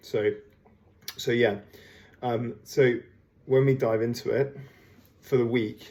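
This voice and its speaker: Quiet and somewhat breathy, a man speaks at a very slow pace with long, frequent pauses, monotone, flat intonation and a dark, mellow tone. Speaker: fitness coach. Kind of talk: workout programming briefing. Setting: at home. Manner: low voice, quiet.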